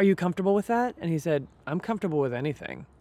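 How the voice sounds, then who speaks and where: A woman's fairly low-pitched voice at a very fast pace. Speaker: podcast co-host, improv teacher. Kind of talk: casual chat. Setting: outdoors in a redwood grove. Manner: loud.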